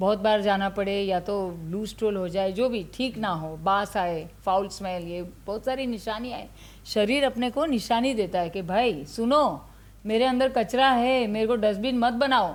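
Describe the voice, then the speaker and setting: In a normal speaking voice, a woman talks at a medium pitch with ordinary pitch variation. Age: 60s. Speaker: ayurveda doctor. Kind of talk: interview.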